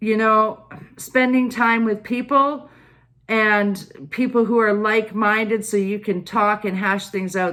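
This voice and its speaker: A loud woman's voice with fairly high pitch. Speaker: tarot and oracle card reader. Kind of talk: card reading monologue to viewers.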